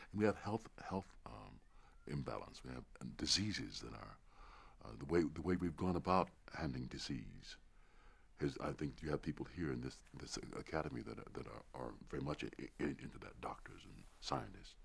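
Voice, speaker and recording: Vocal fry runs through speech at a moderate pace, with lively intonation and big swings in loudness. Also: man, very deep, low pitch for a man. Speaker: interviewee. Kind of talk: interview answer. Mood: earnest, reflective. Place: studio. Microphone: lapel.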